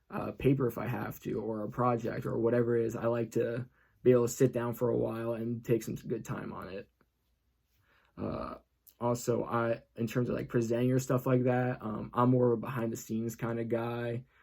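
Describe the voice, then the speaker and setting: Dark and mellow in tone, a man's medium-pitched voice stays monotone and flat. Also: fairly quick pace. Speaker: college student. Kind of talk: self-introduction video. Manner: hesitant, many fillers.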